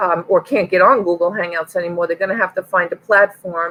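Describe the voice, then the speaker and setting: A woman speaks in a Long Island accent at a moderate pace. Her intonation is monotone and flat, and the sound is dry and close with no echo. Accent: New York Long Island. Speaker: online reseller and live show host. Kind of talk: casual chat.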